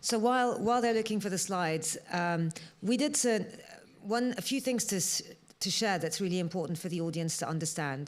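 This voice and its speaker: A woman with a medium pitch talks at a fairly quick pace amid audible room echo. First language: not English. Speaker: panelist, diamond industry initiative leader. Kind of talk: conference panel discussion. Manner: many filler words and hesitations.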